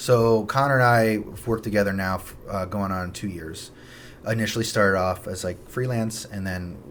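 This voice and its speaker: Audible room echo surrounds this voice. A man speaks with a fairly low pitch and fairly even intonation. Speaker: real estate agent. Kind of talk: casual chat. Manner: fast.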